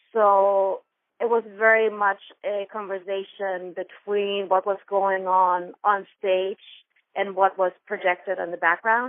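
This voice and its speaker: A woman with a German accent talks at a very slow pace. Her medium-pitched voice stays flat and monotone. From Germany. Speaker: dancer, choreographer. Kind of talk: interview answer.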